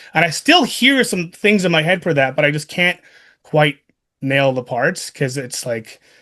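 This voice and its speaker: A man's fairly high-pitched voice, in an American accent, comes through with a quiet background. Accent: sounds more American than Canadian. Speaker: radio show host and DJ. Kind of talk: casual chat. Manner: animated.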